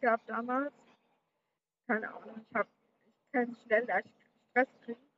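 The pace is fairly slow, with long, frequent pauses, big swings in loudness and a monotone, flat intonation. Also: woman. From Berlin, Germany. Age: young. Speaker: podcaster. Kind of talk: personal monologue.

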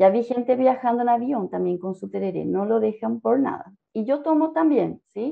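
A woman talks with a fairly high pitch and lively intonation. Her moderate pace has hardly any pauses. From Paraguay, Asunción. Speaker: Spanish teacher. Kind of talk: interview.

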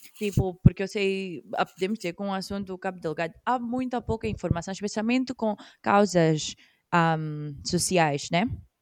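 An ordinary speaking voice moves at a moderate pace with ordinary pitch variation. The sound is dry and close with no echo, in a very clean recording with a silent background. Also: woman, medium pitch for a woman. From Mozambique. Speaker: podcast co-host. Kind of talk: casual chat. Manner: code-switching Portuguese and English.

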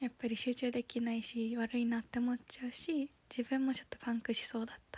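A woman talks fairly quickly in a high voice with hardly any pauses and a monotone, flat intonation. The sound is dry and close, with no echo. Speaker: podcaster and office worker. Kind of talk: casual solo podcast monologue. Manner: halting.

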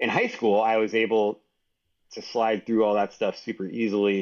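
In a plain, everyday voice, a man speaks fairly quickly. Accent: American. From Texas, San Antonio. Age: 40s. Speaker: engineer and entrepreneur. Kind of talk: interview conversation.

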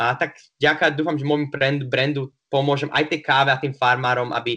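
In an ordinary speaking voice, a man talks at a fairly quick pace and a medium pitch. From Slovakia, Prešov. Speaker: bartender and barista. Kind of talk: interview. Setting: remote call.

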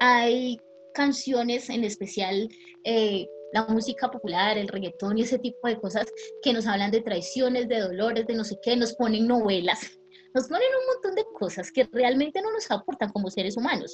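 There is noticeable background noise behind this woman. Her pitch is fairly high, with ordinary pitch variation. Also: moderate pace. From Colombian Pacific coast. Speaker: history teacher. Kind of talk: educational interview.

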